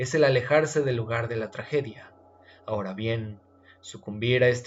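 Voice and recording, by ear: A passage read aloud in a natural voice, its pitch varying in an ordinary way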